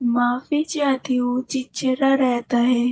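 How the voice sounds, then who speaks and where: In a put-on character voice, a woman speaks at high pitch with monotone, flat intonation. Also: dry, close sound with no echo. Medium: fan dub. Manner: gentle, warm.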